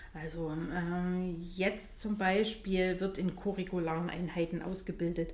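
In a room with audible echo, a woman talks at a very slow pace with hardly any pauses and monotone, flat intonation. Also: medium pitch for a woman. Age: 40s. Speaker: nurse and training supervisor. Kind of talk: interview.

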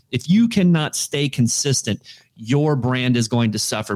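With an American accent, a man talks in an ordinary speaking voice at a moderate pace and medium pitch, with ordinary pitch variation. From Florida. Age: 40s. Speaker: digital media marketer. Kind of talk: casual interview.

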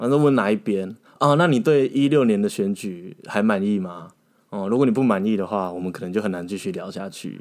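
A man in an ordinary speaking voice talks at a fairly quick pace and fairly low pitch, with ordinary pitch variation, on a very clean recording with a silent background. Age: 30s. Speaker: former legislative aide. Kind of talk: casual interview chat.

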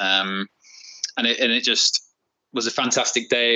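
This is a man talking with a British accent. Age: 40s. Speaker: repair shop owner. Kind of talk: casual interview chat.

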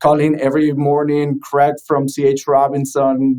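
A man speaks with a Spanish accent at a fairly high pitch. His tone is dark and mellow, and his pace is fairly slow. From Venezuela. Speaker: trucking tech company founder. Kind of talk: podcast interview. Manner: hesitant, many fillers.

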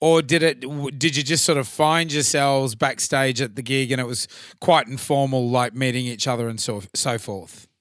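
The speaker is a man with an Australian accent. His recording is very clean, with a silent background. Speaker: podcast host and tribute band singer. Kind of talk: casual chat. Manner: halting.

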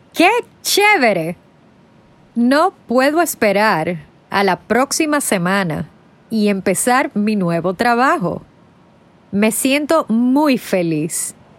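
Speaking at a very slow pace with long, frequent pauses, a woman keeps her loudness very even while her fairly high voice makes very wide pitch swings. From Dominican Republic. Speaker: aspiring film worker. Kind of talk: scripted narration for language learners.

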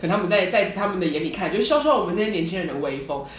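A woman's fairly low voice with lively intonation, audible room echo and noticeable background noise. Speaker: podcast co-host. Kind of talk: casual chat.

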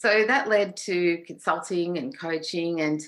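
Over a quiet background, a woman with an Australian accent speaks at a fairly low pitch. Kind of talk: casual interview chat.

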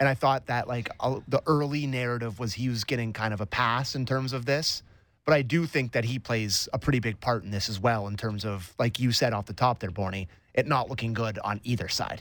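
A man's unremarkable speaking voice, medium in pitch with ordinary pitch variation, at a fairly quick pace, in a very clean recording with a silent background. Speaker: radio producer and host. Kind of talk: casual sports radio chat.

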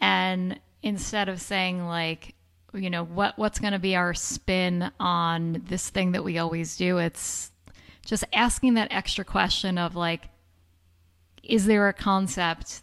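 An unremarkable speaking voice from a woman with an American accent, medium pitch, fairly even intonation, and a fairly slow pace. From upstate New York. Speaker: podcast co-host. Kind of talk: casual chat.

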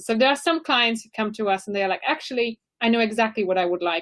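This woman has a plain, everyday voice. Her pitch is fairly high, with ordinary pitch variation. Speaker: audio branding company CEO. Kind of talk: interview advice. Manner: laughs often.

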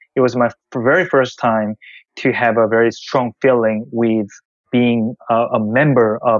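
Someone with a Korean accent speaks at a fairly slow pace with fairly even intonation. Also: man. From South Korea. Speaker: tech investor. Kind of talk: interview. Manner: halting.

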